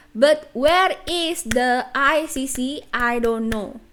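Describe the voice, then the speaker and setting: A woman with an Indonesian accent and ordinary pitch variation. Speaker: graduate student, educational video maker. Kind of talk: lecture.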